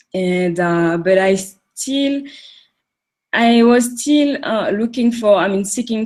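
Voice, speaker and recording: A woman with a French accent speaks at a very slow pace with lively intonation. The recording is very clean, the background silent. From French Caribbean island. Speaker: coaching client. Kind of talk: interview testimony. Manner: halting, many fillers.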